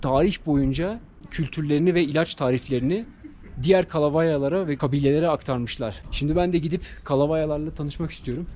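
At a fairly quick pace, a man talks in a fairly high voice with a dark, mellow tone and ordinary pitch variation. Light background noise can be heard. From Turkey. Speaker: travel vlogger. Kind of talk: travel vlog narration. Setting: outdoors.

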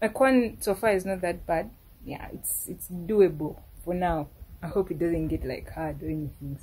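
A woman with a Ugandan accent talks at a moderate pace in a fairly low pitch, with ordinary pitch variation and big swings in loudness, over light background noise. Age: 20s. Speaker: university student vlogger. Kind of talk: casual talk to camera. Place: home room. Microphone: phone near.

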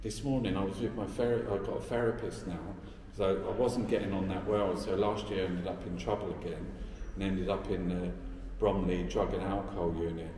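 Amid audible room echo and light background noise, a man speaks at a fairly quick pace. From London, Peckham. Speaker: artist. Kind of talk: interview. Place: hall. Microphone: phone near.

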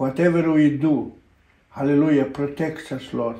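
Someone speaks fairly slowly with fairly even intonation against a quiet background, with audible room echo. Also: man. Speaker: pastor. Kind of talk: fervent spoken prayer. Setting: online broadcast. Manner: impassioned, stacking urgent commands and repeated 'my Lord'; punctuated by ecstatic interjections of hallelujah and amen. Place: home room.

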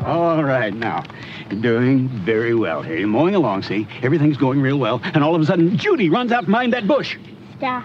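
Very wide pitch swings run through speech at a moderate pace, with a dry sound with no echo and light background noise. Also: man. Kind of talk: scripted instructional dialogue. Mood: friendly, patient, lightly humorous. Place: garden.

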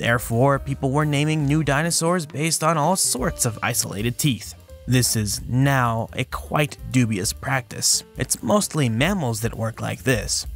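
With music in the background, a man speaks at a fairly slow pace with lively intonation and hardly any pauses. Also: medium pitch for a man. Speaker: science educator. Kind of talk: documentary narration.

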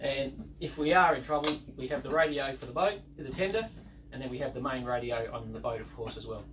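A man talking at a fairly quick pace, with music in the background. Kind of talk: casual vlog explanation. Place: boat. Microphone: camera far.

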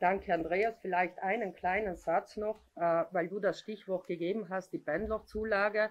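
Her intonation fairly even, a woman speaks at a fairly slow pace with hardly any pauses. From Italy. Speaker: regional politician. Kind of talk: press conference statement. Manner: hesitant, many fillers. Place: meeting room. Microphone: podium.

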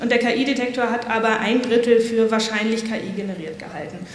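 Audible room echo surrounds a woman speaking at a fairly quick pace in a fairly high voice.

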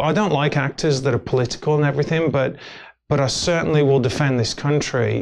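Over light background noise, a man with an English Midlands accent talks at a very fast pace, his fairly high pitch held in fairly even intonation. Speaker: actor and filmmaker. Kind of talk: casual interview chat. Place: studio. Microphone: lapel.

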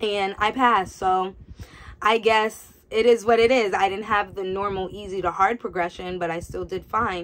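A woman's medium-pitched voice at a moderate pace, with an American accent. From New York. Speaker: nurse. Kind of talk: casual vlog. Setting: home. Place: home room. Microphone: phone near.

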